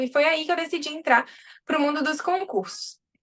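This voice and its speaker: A woman speaks with ordinary pitch variation. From Brazil, interior of Bahia. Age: 30s. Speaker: army dentist and dentistry teacher. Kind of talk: interview.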